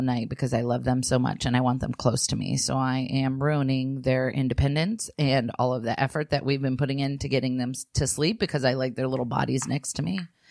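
Over noticeable background noise, a woman with a very deep, low pitch talks at a fairly quick pace with hardly any pauses and fairly even intonation. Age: 30s. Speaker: podcast co-host, mother, author. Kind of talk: casual chat.

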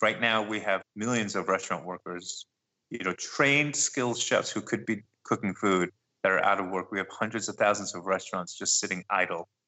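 A man with an American accent speaks in a normal speaking voice at a fairly quick pace. His pitch is fairly low, with ordinary variation. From New York (Brooklyn). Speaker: chef and restaurant owner. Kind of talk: interview. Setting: Skype call.

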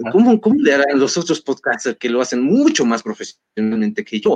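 The speech moves at a very fast pace with lively intonation, in a dry, close sound with no echo. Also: man. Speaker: history podcaster. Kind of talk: interview.

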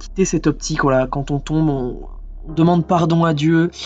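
Music runs in the background as a man speaks at a moderate pace. His voice is high, with ordinary pitch variation. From French Alps (Villard-de-Lans). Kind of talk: testimony. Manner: halting, with many fillers and repetitions.

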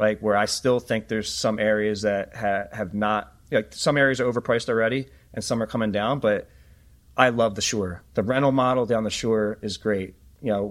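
A man with an American accent and an ordinary speaking voice talks at a moderate pace with a fairly low pitch and fairly even intonation on a very clean recording with a silent background. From Philadelphia. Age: 40s. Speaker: data analytics company founder. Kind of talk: interview.

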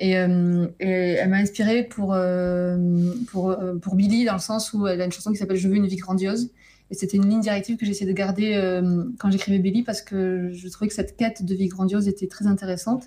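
A woman speaks at a fairly quick pace in a medium pitch, her somewhat breathy voice dark and mellow with a monotone, flat intonation. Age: 30s. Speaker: novelist. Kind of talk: interview.

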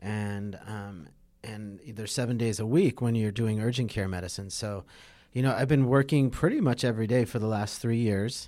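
A speaker with an American accent uses a normal speaking voice and ordinary pitch variation, captured in a very clean recording with a silent background. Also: man, medium pitch for a man, moderate pace. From US West Coast, Los Angeles area. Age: 40s. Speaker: physician and former pro surfer. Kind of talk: casual interview. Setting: in person.

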